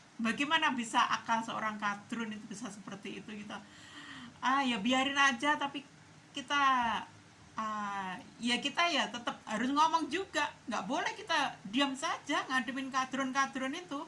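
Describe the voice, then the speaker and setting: A woman's raised, projected voice, high in pitch and bright and sharp in tone, with lively intonation, big swings in loudness and a moderate pace. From East Java, Indonesia. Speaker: political commentary vlogger. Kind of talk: casual opinion monologue.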